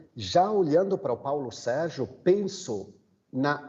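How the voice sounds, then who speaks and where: Speaking very slowly in an Italian accent, a man uses a high pitch and lively intonation. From Italy. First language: Italian (speaking Portuguese). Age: 50s. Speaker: migrant aid worker. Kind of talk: panel talk. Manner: halting.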